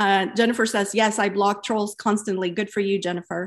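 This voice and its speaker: A woman uses an unremarkable speaking voice at a medium pitch, moving at a moderate pace. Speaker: podcast host and founder. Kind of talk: interview and moderated discussion.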